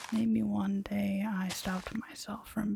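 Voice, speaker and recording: A soft-spoken woman whispers at a very slow pace over noticeable background noise. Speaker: ASMR creator. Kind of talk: ASMR soft-spoken gaming commentary. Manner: soft-spoken, whispered.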